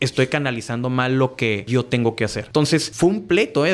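Lively intonation and a fairly quick pace from a male speaker. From Mexico, Tijuana; Mexico. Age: 30s. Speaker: business owner; podcast guest. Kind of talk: interview. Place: studio. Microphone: studio mic.

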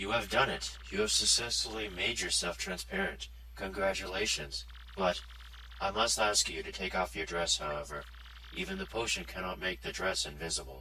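A man does a cartoonish character voice with a very deep, low pitch at a moderate pace, over clear background noise. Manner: formal, measured, polite.

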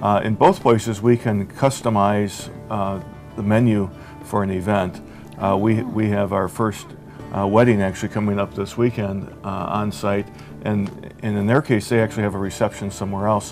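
With clear music playing in the background, a man talks at a moderate pace in a fairly low pitch with fairly even intonation. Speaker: guest. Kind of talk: interview answer. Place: bar. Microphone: lapel.

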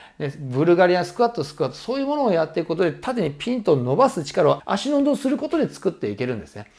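Over a quiet background, a man talks at a very fast pace with hardly any pauses, his high voice making very wide pitch swings. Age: 50s. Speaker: personal trainer. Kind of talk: tutorial. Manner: casual, many filler words. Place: home room.

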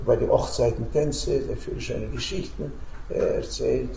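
A man talks at a moderate pace, and the room's echo is audible around him. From Romania. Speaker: peace activist, Holocaust survivor. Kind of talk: storytelling to school students. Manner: hesitant, many filler sounds. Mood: warm, reflective storytelling. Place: home room.

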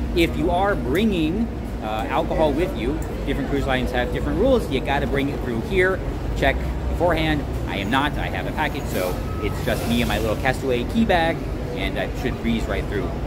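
A man keeps up a fairly quick pace while loud noise fills the background. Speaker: travel vlogger. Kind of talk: casual vlog chat. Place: station. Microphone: phone near.

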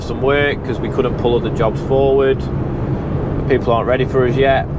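A man's voice has a dry sound with no echo and loud background noise. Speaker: window fitter vlogger. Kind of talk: casual vlog chat. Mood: relaxed, slightly annoyed. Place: car. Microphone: lapel.

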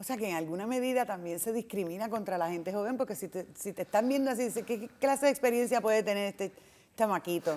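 Here a woman talks at a very fast pace. Her voice is fairly high, with ordinary pitch variation. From Puerto Rico. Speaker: TV talk show host. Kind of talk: interview. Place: hall.

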